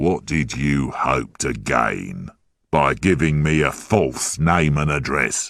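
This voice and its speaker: In a put-on character voice, a man growls at a very slow pace with a very deep, low pitch and very even loudness. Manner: slow, threatening.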